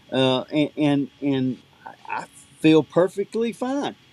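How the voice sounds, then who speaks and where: A man with lively intonation, the sound dry and close with no echo, and noticeable background noise. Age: 50s. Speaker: outdoor gear company representative and tournament angler. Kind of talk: podcast interview, product talk. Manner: animated.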